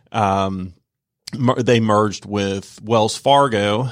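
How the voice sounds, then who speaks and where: Very clean audio over a silent background, carrying a fairly low male voice. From Georgia, Norcross area. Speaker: banker. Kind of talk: casual interview. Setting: radio studio.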